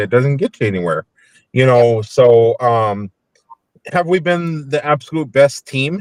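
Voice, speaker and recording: This man talks with lively intonation and a Minnesotan accent. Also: dry, close sound with no echo. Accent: Minnesota. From US South, Nashville, Tennessee. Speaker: paranormal investigator. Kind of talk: casual chat. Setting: in a car, video call.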